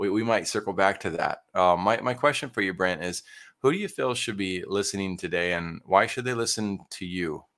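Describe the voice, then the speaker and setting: The recording is very clean, with a silent background. A man uses a normal speaking voice, fairly low, with ordinary pitch variation at a moderate pace. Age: 30s. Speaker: podcast host, entrepreneur. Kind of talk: interview.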